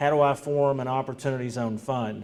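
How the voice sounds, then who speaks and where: A man's fairly high voice at a fairly quick pace, with noticeable background noise. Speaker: state government official presenting. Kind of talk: presentation. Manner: loud.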